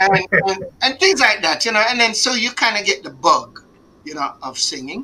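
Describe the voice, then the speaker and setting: Amid noticeable background noise, a man in a Jamaican accent uses a raised, projected voice at an extremely high pitch with very wide pitch swings. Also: moderate pace. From Jamaica, Kingston. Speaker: singer. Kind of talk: interview. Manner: halting.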